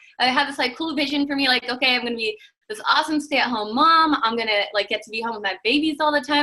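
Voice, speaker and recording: A woman with an American accent speaks at a very fast pace. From Washington State, US. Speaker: network marketing team member. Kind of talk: personal testimony on video call.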